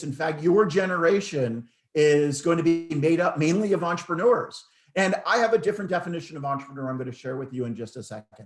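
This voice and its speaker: A man with an American accent, fairly high pitch and lively intonation, talking at a very fast pace over music in the background. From United States. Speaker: entrepreneur and business speaker. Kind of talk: online presentation to students. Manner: hesitant, many fillers.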